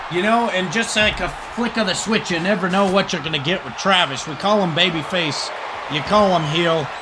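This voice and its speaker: Amid crowd noise in the background, a man with a high pitch speaks at a fairly quick pace in a raised, projected voice. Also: ordinary pitch variation. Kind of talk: wrestling play-by-play commentary. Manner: conversational, rambling.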